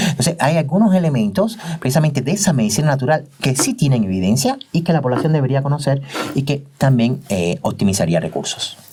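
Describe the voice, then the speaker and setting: A man talks at a very fast pace with very wide pitch swings. Noticeable background noise is present. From Cuba. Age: 50s. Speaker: doctor and teacher. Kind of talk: interview testimony.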